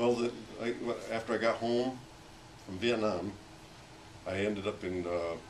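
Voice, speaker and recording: This man's fairly low voice keeps a fairly even intonation, with noticeable background noise and audible room echo. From Pennsylvania, US. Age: 60s. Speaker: war veteran. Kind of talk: casual chat. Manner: halting.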